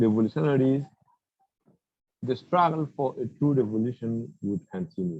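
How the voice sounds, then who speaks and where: Dry, close sound with no echo carries a dark, mellow tone. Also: man. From Burkina Faso. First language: French. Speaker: activist speaker. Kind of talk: public talk.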